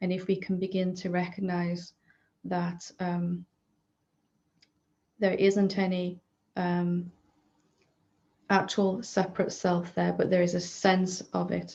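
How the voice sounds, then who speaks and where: Against a quiet background, a woman with a medium pitch talks at a very slow pace in a monotone, flat intonation, her somewhat breathy voice dark and mellow in tone, with long, frequent pauses. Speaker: spiritual teacher. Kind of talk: satsang talk answering questions. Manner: hesitant with fillers.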